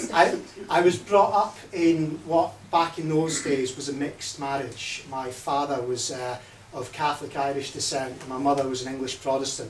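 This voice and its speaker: A man with a fairly high voice, plus noticeable background noise and audible room echo. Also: ordinary pitch variation, moderate pace. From Scotland. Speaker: party leadership candidate. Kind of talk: campaign speech. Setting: hustings event with audience.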